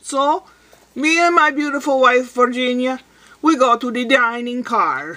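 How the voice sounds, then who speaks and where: A woman speaks in a raised, projected voice. Her pace is moderate. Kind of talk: casual vlog joke telling. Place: home room. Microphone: webcam.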